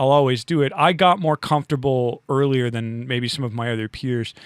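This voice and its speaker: A man with an American accent uses a normal speaking voice at medium pitch with ordinary variation. He talks fairly quickly, and the sound is dry and close with no echo. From US Northeast (Rochester, New York). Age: 40s. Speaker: musician and podcaster. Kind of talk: casual chat.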